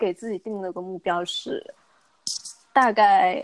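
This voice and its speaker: The sound is dry and close, without echo. A woman is talking. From China, Guangzhou. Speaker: young professional. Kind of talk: casual chat.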